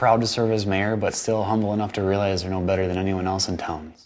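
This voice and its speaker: A man with an American accent talks at a fairly quick pace and a fairly low pitch, his intonation fairly even. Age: young. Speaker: small-town mayor, college student. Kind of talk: news interview answer.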